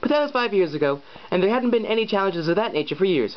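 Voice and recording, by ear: The text is read aloud in a natural voice. Its intonation has plenty of life.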